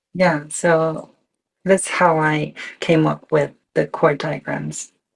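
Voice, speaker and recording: A woman's very deep, low voice in a Japanese accent, monotone and flat at a very slow pace. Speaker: electronic musician. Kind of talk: interview. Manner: halting.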